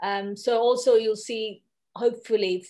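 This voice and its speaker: Over a quiet background, a woman talks at a fairly slow pace. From India. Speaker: architect and academic. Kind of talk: presentation. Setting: video call. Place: home room. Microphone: video call.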